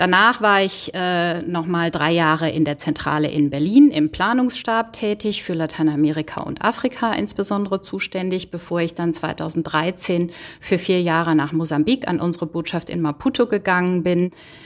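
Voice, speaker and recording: A woman with an ordinary speaking voice, ordinary pitch variation, a moderate pace and hardly any pauses. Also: fairly low pitch for a woman. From Rhineland, Germany (Bergisch Gladbach). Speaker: diplomat. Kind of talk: interview. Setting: remote call. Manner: formal.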